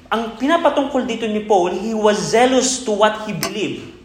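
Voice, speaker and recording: Noticeable background noise is present throughout. Speech moves along at a fairly slow pace. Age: 30s. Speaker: Bible study teacher. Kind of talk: Bible class lecture. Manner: code-switching Tagalog and English.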